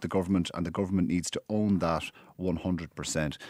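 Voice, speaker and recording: The speaker talks at a very fast pace with an Irish accent. The sound is dry and close with no echo, on a very clean recording with a silent background. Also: man. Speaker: radio host. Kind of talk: current affairs interview.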